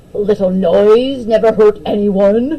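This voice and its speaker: The speaker uses a put-on character voice. It is pitched fairly high. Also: fairly slow pace. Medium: read story. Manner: blustering, stubborn.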